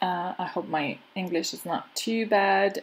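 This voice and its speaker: A woman's medium-pitched voice with ordinary pitch variation, in a French accent. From France. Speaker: crafter and craft channel host. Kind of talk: tutorial. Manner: halting.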